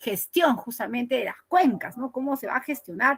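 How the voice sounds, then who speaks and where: This woman's high-pitched voice has a bright, sharp tone and lively intonation, recorded dry and close with no echo. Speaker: teacher. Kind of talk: online lecture.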